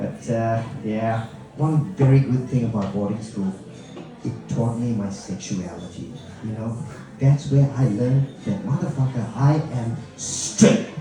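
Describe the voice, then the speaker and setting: With music in the background and audible room echo, a man speaks at a medium pitch and a fairly slow pace with ordinary pitch variation. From Malaysia. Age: middle-aged. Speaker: comedian. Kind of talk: stand-up. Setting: stage with audience. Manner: animated.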